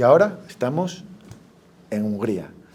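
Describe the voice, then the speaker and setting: A man's dark, mellow tone is heard with audible room echo. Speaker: event host. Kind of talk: speaker introduction.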